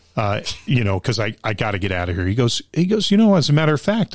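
A man with an American accent and very wide pitch swings, on a very clean recording with a silent background. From Long Island, New York. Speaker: theater actor. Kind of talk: casual chat.

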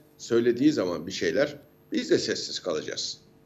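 A man speaks at a moderate pace. His voice has vocal fry. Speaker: university lecturer and defence analyst. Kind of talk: interview commentary. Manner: animated; halting with fillers.

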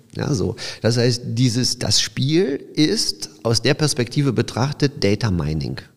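A man's medium-pitched voice with vocal fry, lively intonation and a very slow pace. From Silesia, Poland (Opole area), moved to Düsseldorf at 12. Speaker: startup founder. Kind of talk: interview. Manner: halting, many fillers and restarts.

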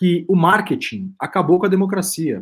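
On a very clean recording with a silent background, a man talks in a high-pitched voice. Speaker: podcast co-host. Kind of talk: casual chat.

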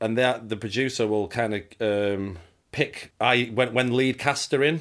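The recording is very clean, with a silent background. A man speaks in an ordinary speaking voice at medium pitch, with ordinary pitch variation. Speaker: set photographer. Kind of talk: casual interview chat.

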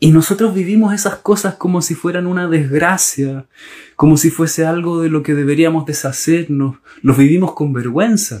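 At a moderate pace, a man speaks with a fairly high pitch and ordinary pitch variation. His tone is dark and mellow. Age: 40s. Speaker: gestalt therapist and podcast host. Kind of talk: solo monologue talk.

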